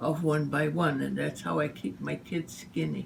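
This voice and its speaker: A woman speaks at a very slow pace. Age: 80s+. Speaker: home baker teaching a family recipe. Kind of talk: casual cooking demonstration.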